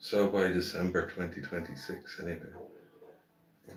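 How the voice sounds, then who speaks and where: In a relaxed tone, a man with an Irish accent speaks at a very deep, low pitch. Room echo is audible. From Ireland. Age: 60s. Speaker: gardening livestreamer. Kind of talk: casual live stream chat. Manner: relaxed, chatty.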